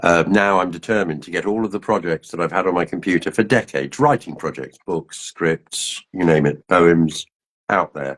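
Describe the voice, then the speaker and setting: The recording is dry and close with no echo, as a man with a very deep, low pitch speaks at a moderate pace with ordinary pitch variation. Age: 60s. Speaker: writer. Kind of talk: interview. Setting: live stream. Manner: halting.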